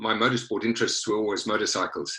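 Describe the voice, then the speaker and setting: A man talks with a South African accent. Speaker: former motorsport director of a carmaker. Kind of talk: interview. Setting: virtual studio, remote recording.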